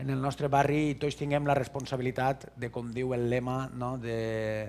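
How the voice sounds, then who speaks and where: A man with a Valencian accent at medium pitch, moderate pace and fairly even intonation. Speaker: conference speaker. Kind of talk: conference talk. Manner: halting.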